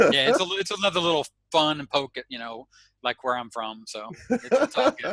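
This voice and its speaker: A man with an Arkansas accent at a fairly quick pace, fairly high in pitch with very wide pitch swings, bright and sharp in tone, big swings in loudness, and a dry, close sound with no echo. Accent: Southern US (Arkansas). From US South, Arkansas. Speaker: internet marketer. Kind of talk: interview. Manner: halting.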